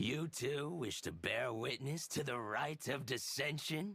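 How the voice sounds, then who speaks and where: In a put-on character voice, a man talks fairly slowly with a fairly high pitch. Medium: video game. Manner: knowing, chatty.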